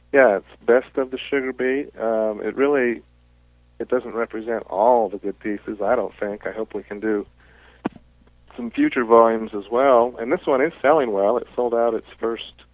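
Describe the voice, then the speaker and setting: A man's ordinary speaking voice with an American accent, moderate pace and fairly even intonation. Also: medium pitch for a man. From Southern California, later Utah. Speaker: author and editor. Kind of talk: interview.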